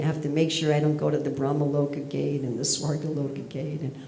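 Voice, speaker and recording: A woman speaks at a fairly quick pace. There is audible room echo and noticeable background noise. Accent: American. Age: old. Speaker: spiritual teacher. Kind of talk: lecture.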